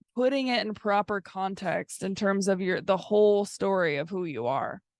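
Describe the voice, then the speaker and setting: A woman at medium pitch and moderate pace, with an ordinary speaking voice and lively intonation. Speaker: podcast co-host, therapist-like coach. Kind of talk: casual chat.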